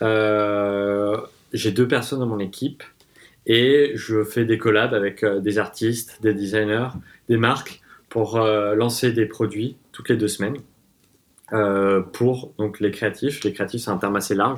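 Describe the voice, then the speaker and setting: A man's very slow delivery in a monotone, flat intonation. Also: very clean recording, silent background. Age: 20s. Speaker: designer and entrepreneur. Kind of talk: casual interview.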